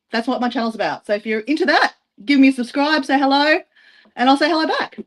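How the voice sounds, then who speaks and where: Talking very fast with an Australian accent, a woman uses a high voice with ordinary pitch variation in a dry, close sound with no echo. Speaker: travel vlogger. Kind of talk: casual self-introduction on a live stream. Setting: group live stream. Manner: casual, filler-heavy.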